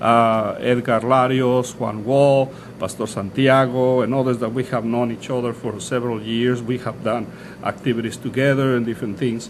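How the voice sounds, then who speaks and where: Noticeable background noise accompanies a man's voice. His intonation is monotone and flat. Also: medium pitch for a man, moderate pace. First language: Spanish. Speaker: pastor. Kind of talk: interview. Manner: halting, many fillers and restarts.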